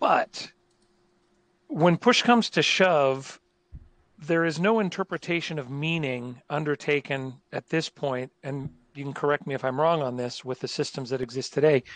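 An unremarkable speaking voice belongs to a man of fairly high pitch, talking at a moderate pace with ordinary pitch variation. The sound is dry and close with no echo, against a quiet background. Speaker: conference interpreter. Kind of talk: panel discussion.

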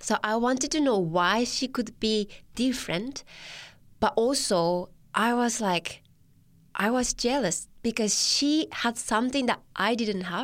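At a fairly slow pace, a woman with a fairly high pitch, ordinary pitch variation and a Japanese accent speaks in a very clean recording with a silent background. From Japan, Tochigi. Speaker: church Bible worker. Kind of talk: personal testimony interview. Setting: studio. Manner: hesitant, frequent fillers.

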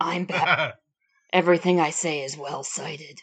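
This put-on character voice has a gravelly sound. Its pitch sits in the middle. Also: moderate pace. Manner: serious, self-important.

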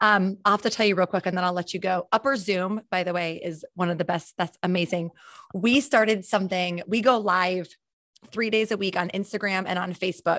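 In an unremarkable speaking voice, a woman talks at a fairly quick pace with medium pitch and fairly even intonation, her sound dry and close with no echo against a quiet background. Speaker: podcast host. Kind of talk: casual interview.

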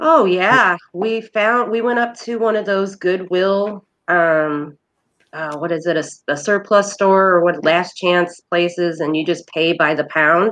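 In an American accent, a woman with a plain, everyday voice speaks fairly slowly at a fairly low pitch, with ordinary pitch variation against a quiet background. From Indiana. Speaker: thrift shop owner and event organizer. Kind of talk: casual interview chat.

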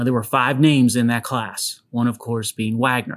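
On a very clean recording with a silent background, a man of medium pitch talks with an American accent. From Western Pennsylvania, Pittsburgh area. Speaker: podcast host. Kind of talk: solo podcast monologue. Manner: upbeat, conversational.

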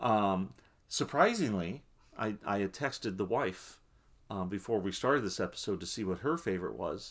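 A man has a plain, everyday voice, fairly low in pitch with lively intonation, at a moderate pace. The recording is very clean, with a silent background. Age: 40s. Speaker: podcast co-host. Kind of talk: casual chat.

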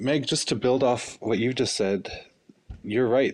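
A man speaks with a Canadian accent. His pitch varies in an ordinary way. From Northwest Territories, Fort Smith. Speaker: podcast producer. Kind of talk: casual panel discussion. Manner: halting, many fillers and repeats.

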